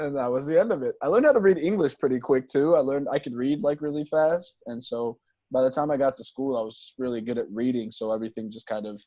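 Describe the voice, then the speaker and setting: Over a quiet background, a man speaks very fast with hardly any pauses, his fairly high voice carrying a dark, mellow tone and ordinary pitch variation. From Congo. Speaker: podcast co-host. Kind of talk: casual chat.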